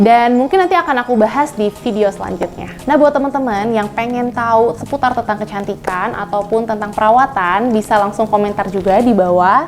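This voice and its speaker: A woman speaks at a fairly quick pace with hardly any pauses, her pitch fairly high and its variation ordinary. Music plays in the background. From Indonesia, Bandung. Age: 20s. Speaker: doctor and beauty vlogger. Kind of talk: skincare tutorial vlog.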